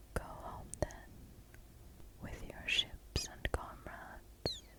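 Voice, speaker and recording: A whisper at a very slow pace over noticeable background noise. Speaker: ASMR creator. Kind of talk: whispered ASMR reading of an epic poem. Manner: whispered, relaxing.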